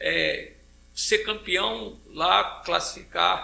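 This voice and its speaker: The man's voice comes with audible room echo. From Rio de Janeiro, Brazil. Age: 70s. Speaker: football coach and fitness trainer. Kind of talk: interview podcast.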